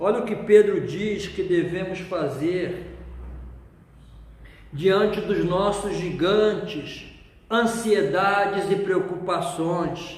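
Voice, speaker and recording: Amid noticeable background noise and audible room echo, a man speaks very slowly in a high pitch with fairly even intonation. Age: 60s. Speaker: pastor. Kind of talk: sermon.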